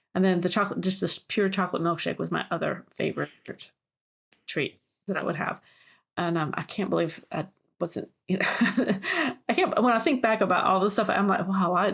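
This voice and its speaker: With an American accent, a woman speaks at a fairly quick pace but leaves long, frequent pauses. Her medium pitch holds fairly even intonation. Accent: Southern US, comes through at times. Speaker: podcast co-host, genealogist and family history expert. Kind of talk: casual chat. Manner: halting, many fillers and restarts.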